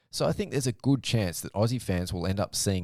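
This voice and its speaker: A man's pitch moves in an ordinary way, captured on a very clean recording with a silent background. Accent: Australian. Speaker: motocross podcast host. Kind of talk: solo podcast commentary.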